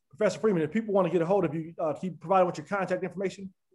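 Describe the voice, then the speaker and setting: With an American accent, a man talks at a very fast pace. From US West. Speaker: podcast host. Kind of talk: interview.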